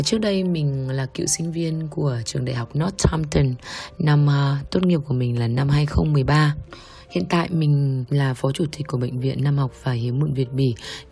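Somewhat breathy and dark, mellow in tone, this voice moves at a fairly slow pace. Its pitch varies in an ordinary way. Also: woman, very deep, low pitch for a woman. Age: 30s. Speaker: hospital executive. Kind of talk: personal testimony.

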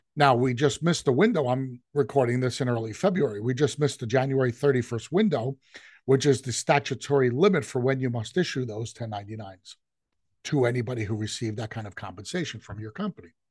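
A man speaks at a very fast pace with a medium pitch. His voice is somewhat breathy, and the background is quiet. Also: ordinary pitch variation, big swings in loudness. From New York. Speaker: business consultant and podcast host. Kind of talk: informal business talk, solo podcast monologue. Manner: conversational, explanatory.

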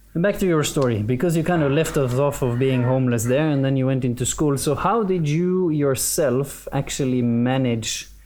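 A man's dark, mellow tone at a moderate pace. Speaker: podcast host. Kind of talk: interview conversation. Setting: studio.

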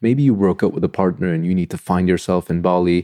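A man with a very deep, low pitch and a dark, mellow tone speaks very fast with lively intonation. The sound is dry and close with no echo, over a quiet background. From Turkey, Istanbul. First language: Turkish. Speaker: design podcaster and former design researcher. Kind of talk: solo podcast monologue. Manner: animated.

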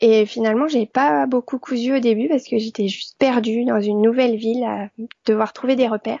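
A woman with an unremarkable speaking voice talks at a fairly quick pace, with a fairly high pitch and ordinary pitch variation. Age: 40s. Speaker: sewing blogger and pattern designer. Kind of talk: interview.

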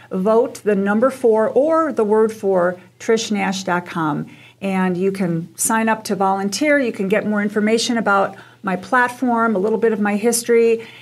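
A woman's fairly high-pitched voice at a moderate pace, with ordinary pitch variation, an ordinary speaking voice, on a very clean recording with a silent background. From US Midwest, Chicago. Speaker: political candidate and real estate broker. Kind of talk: radio interview.

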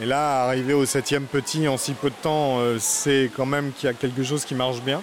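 A man speaks at a fairly quick pace in a monotone, flat delivery, with noticeable background noise behind him. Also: medium pitch for a man. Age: 40s. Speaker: zoo director and veterinarian. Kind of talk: guided tour explanation. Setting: inside a tropical zoo greenhouse. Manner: hesitant, many fillers and repetitions.

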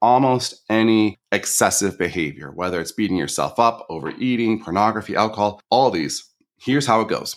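In an American accent, a man speaks at a fairly quick pace with a fairly low pitch and lively intonation. It is an ordinary speaking voice on a very clean recording with a silent background. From northern Michigan. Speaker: coach and podcaster. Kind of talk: interview.

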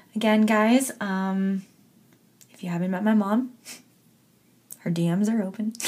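Speaking in a Canadian accent, a woman with a medium pitch and a somewhat breathy voice moves at a fairly slow pace with fairly even intonation and long, frequent pauses. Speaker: podcast host. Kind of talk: casual chat. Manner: laughs often.

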